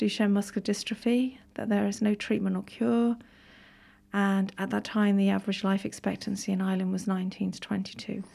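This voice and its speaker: A woman's somewhat breathy, dark, mellow voice, monotone and flat, at a moderate pace on a very clean recording with a silent background. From Wales. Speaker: nurse and charity campaigner, mother. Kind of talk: radio interview. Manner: earnest, articulate.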